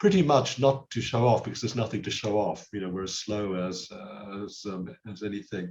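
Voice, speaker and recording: A man speaks at a fairly quick pace, somewhat breathy, with hardly any pauses. His loudness swings widely. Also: fairly low pitch for a man, ordinary pitch variation. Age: 70s. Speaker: karate master. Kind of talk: interview.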